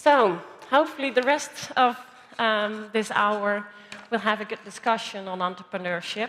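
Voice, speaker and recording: Here a woman speaks at a fairly high pitch and a moderate pace. Her pitch varies in an ordinary way. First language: Dutch. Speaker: panel moderator. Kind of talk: panel discussion.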